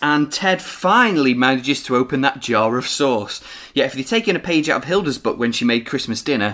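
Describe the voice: Lively intonation in plain reading aloud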